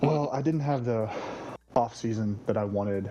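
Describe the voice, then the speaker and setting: Music plays in the background of this fairly quick speech. The tone is serious, with ordinary pitch variation. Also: man. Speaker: fantasy football league team owner. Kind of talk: casual interview on live stream. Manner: serious-sounding.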